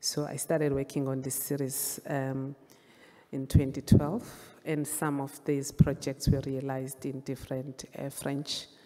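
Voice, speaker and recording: A woman with a Zulu accent speaks in a very deep, low voice with a dark, mellow tone, at a fairly slow pace. Her intonation is monotone and flat, while her loudness swings widely. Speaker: photographer and visual artist. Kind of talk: panel presentation of artworks. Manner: halting, with fillers.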